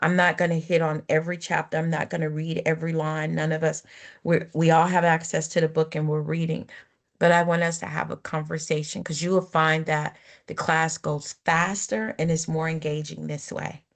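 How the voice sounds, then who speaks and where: Against a quiet background, a woman speaks at a moderate pace in a very deep, low pitch with monotone, flat intonation. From Sudan, raised in US from age 10. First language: not English. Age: 40s. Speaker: university lecturer. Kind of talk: online lecture.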